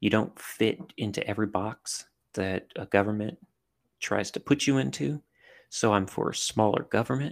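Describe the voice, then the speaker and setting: The intonation is lively and the pace moderate. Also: man, fairly low pitch for a man. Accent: American. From US South, southern Louisiana (Cajun country). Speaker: army veteran and intelligence analyst. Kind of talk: casual interview. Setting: remote call.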